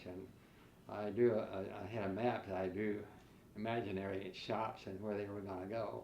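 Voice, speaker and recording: Over noticeable background noise and audible room echo, a man with an American accent talks at a fairly low pitch with fairly even intonation. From US Midwest (rural western Ohio). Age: 80s+. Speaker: retired florist and businessman. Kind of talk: oral history interview. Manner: halting, many fillers.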